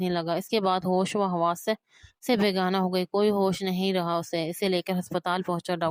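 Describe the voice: The background stays quiet while someone does plain reading aloud.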